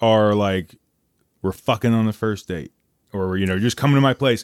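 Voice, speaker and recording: A man with an unremarkable speaking voice talks at a moderate pace, his pitch fairly low with ordinary variation. The recording is very clean and dry, close with no echo, over a silent background. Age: 20s. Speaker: podcast host and comedian. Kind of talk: casual chat.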